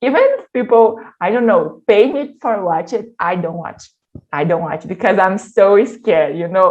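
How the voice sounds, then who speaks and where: Speaking with a Brazilian Portuguese accent, a woman keeps a moderate pace. Her intonation is lively. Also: medium pitch for a woman. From Brazil, Minas Gerais. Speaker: workshop leader. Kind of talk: online workshop talk. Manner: halting.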